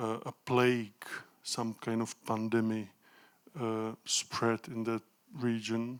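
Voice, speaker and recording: A man with a Czech accent speaks at a very slow pace in a flat, monotone delivery. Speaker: professor of pedagogy. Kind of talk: lecture. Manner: halting.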